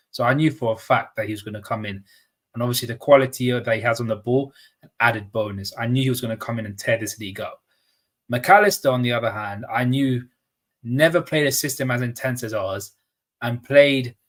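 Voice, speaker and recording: A man with a London accent speaks at a medium pitch, with ordinary pitch variation. His voice is somewhat breathy, and his loudness swings widely. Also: fairly quick pace. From London, northwest. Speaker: football pundit. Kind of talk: casual chat.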